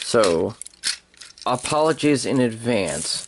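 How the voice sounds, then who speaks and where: A man speaks with lively intonation. There is noticeable background noise. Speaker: toy reviewer. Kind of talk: toy review tutorial. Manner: halting, many fillers and repeats; casual.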